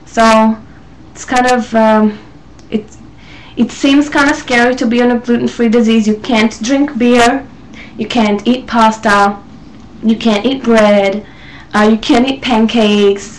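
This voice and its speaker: Over noticeable background noise, a woman with an Israeli accent speaks fairly slowly at a fairly high pitch with fairly even intonation and long, frequent pauses. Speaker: vlogger. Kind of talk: casual talk to camera. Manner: hesitant, many fillers.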